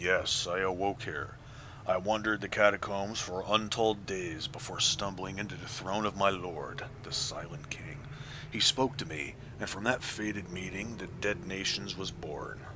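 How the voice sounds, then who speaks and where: A man in a resonant put-on character voice, fairly low in pitch, at a moderate pace over loud background noise. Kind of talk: archaic, formal speech. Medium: game stream. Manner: solemn, slow and grave.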